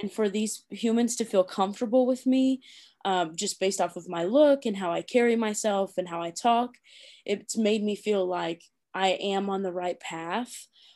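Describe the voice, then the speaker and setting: On a very clean recording with a silent background, a woman with an American accent speaks at a moderate pace in a dark, mellow tone, her medium pitch showing ordinary variation. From Indiana, US Midwest. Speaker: basketball coach. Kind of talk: podcast interview.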